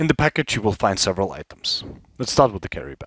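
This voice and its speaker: A man with a non-native accent speaks with lively intonation. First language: not English. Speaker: product reviewer, former infantry soldier, airsoft player. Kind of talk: product review.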